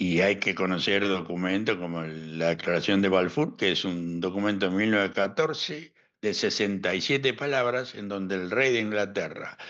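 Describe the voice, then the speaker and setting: Speaking with a La Plata accent, a man talks at a moderate pace with hardly any pauses, fairly low pitch and ordinary pitch variation over a quiet background. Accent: Argentine, La Plata. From La Plata, Argentina. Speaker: historian and analyst. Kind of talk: interview answer.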